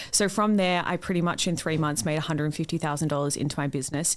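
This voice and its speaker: In an Australian accent, a woman with a very deep, low voice talks very fast with ordinary pitch variation on a very clean recording with a silent background. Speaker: business mentor and online coach. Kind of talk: interview. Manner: loud.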